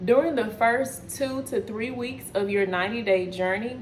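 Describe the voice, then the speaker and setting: With a Texas accent, the speaker has an animated tone and ordinary pitch variation. Audible room echo and noticeable background noise surround the voice. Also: woman. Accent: Texas twang. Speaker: wellness coach. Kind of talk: casual video chat / cooking vlog.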